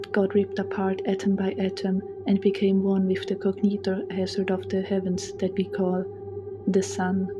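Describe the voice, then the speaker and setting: Over music in the background, a woman speaks at a moderate pace in a medium pitch with monotone, flat intonation. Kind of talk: comedic horror story narration.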